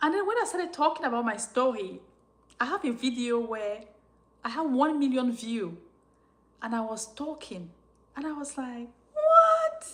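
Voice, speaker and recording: This woman speaks at a moderate pace with a high pitch and lively intonation, leaving long, frequent pauses. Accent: non-native. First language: French. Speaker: YouTuber sharing life story. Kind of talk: live-stream Q&A chat. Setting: live stream.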